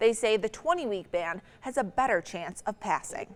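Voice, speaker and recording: Speaking at a fairly quick pace, a woman has a plain, everyday voice pitched fairly high. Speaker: television news anchor. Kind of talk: TV evening newscast anchor read. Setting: studio.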